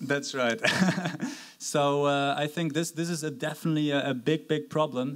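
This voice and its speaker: Over noticeable background noise, a man speaks at a moderate pace in a monotone, flat way. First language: not English. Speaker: panelist at fintech conference. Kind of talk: panel discussion. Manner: halting, many fillers.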